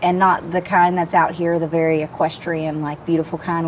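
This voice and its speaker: This woman has a fairly low pitch and a Southern accent. She talks at a moderate pace. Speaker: interview guest. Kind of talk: casual chat.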